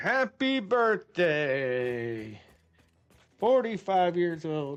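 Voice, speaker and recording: A man's high-pitched voice, very slow, with very wide pitch swings. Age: 40s. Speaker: gaming livestreamer. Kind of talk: casual live-stream chat while gaming. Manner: animated.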